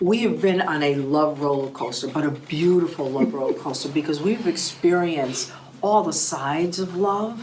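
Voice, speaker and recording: Audible room echo and noticeable background noise surround a woman with a very deep, low voice. She talks at a moderate pace with ordinary pitch variation. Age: 60s. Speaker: pastor. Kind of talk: testimony. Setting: studio.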